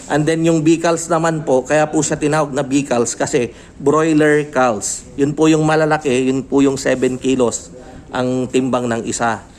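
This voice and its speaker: A man talks at a fairly slow pace in a fairly high voice, with fairly even intonation and very even loudness. Noticeable background noise runs underneath. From Pangasinan, Philippines. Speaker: YouTube host and barangay captain selling poultry cages. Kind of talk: casual interview vlog. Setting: at his shop. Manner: polite, filler-heavy.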